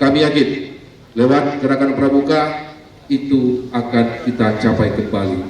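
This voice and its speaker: There is audible room echo and noticeable background noise around a man speaking. His loudness is very even and his intonation fairly even. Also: medium pitch for a man, fairly slow pace. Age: 60s. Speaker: local politician, former teacher. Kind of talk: ceremonial speech.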